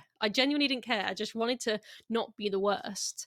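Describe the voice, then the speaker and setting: A woman talks at a fairly quick pace with a fairly high pitch and ordinary pitch variation. It is a plain, everyday voice, heard in a dry, close sound with no echo. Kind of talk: casual podcast interview.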